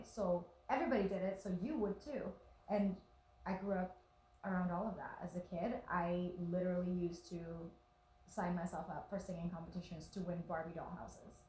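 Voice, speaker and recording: With noticeable background noise behind her, a woman speaks at a medium pitch and a moderate pace in an animated tone. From Venezuela. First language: Spanish. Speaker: actress. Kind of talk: casual interview.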